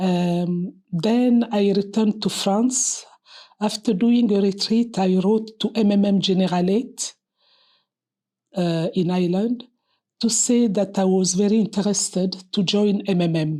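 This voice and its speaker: Dark and mellow in tone, a woman speaks at medium pitch and a fairly slow pace with fairly even intonation. Her loudness stays very even, and the recording is very clean, with a silent background. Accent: French. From Republic of Congo. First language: French. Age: 60s. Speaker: nun and pediatric surgeon. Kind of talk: personal testimony interview. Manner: hesitant with fillers.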